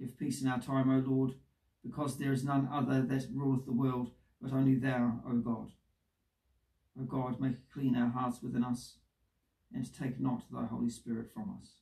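A somewhat breathy man talks at medium pitch and a moderate pace in a monotone, flat way, with long, frequent pauses against a quiet background. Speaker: priest leading worship. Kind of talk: liturgical prayer and scripture reading. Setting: church service recorded for video. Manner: formal, measured, solemn. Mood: calm, solemn. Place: home room.

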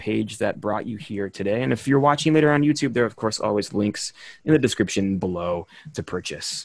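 This man speaks at a very fast pace with lively intonation and a fairly low pitch, the sound dry with no echo over a quiet background. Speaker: bookstore event director. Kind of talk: event welcome and moderation. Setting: video call. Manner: friendly, casual, filler-heavy. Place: home room. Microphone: studio mic.

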